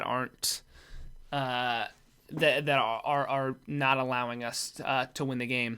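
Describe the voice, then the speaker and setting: A man speaks at a fairly slow pace in a bright, sharp tone with monotone, flat intonation. The recording is very clean, with a silent background. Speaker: sports commentator. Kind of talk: casual game analysis.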